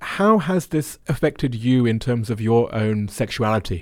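A plain, everyday voice with lively intonation comes through in a very clean recording with a silent background. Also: man. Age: 40s. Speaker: podcast host. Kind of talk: interview.

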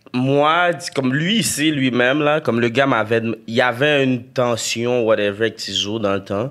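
This man speaks with a Quebec accent at a fairly slow pace. His voice sits at medium pitch with ordinary pitch variation. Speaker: rapper. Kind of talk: casual chat.

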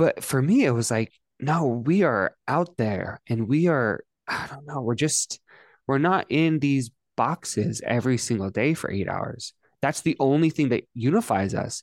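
Here a man with a normal speaking voice talks in a fairly high pitch with lively intonation. The sound is dry and close with no echo, very clean, against a silent background. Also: fairly slow pace. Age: 20s. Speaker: podcast host. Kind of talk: interview.

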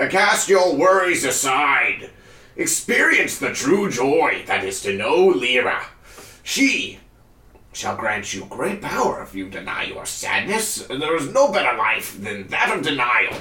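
A man puts on a cheerful character voice, pitched high and spoken at a fairly slow pace. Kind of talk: preacher's sermon. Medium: actual play. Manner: fervent, cultish, oddly cheerful.

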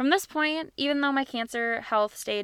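Her tone is bright and sharp, and her pitch varies in an ordinary way. The woman keeps a moderate pace on a very clean recording with a silent background. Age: 20s. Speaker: podcast host and cancer survivor. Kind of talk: personal storytelling monologue.

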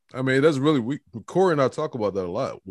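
In a plain, everyday voice with an American accent, a man talks at a fairly quick pace with lively intonation, recorded very cleanly against a silent background with a dry, close sound and no echo. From Newport News, Virginia. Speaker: caller. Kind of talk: casual chat.

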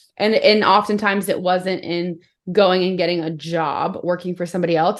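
A plain, everyday voice at a moderate pace. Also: woman. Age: 30s. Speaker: business coach. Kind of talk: casual chat.

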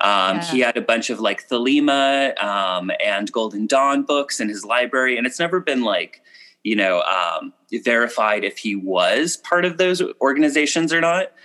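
Lively intonation and a bright, sharp tone mark a man's fairly high-pitched voice, delivered at a moderate pace. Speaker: author and witchcraft teacher. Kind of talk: casual chat. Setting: video call from bed.

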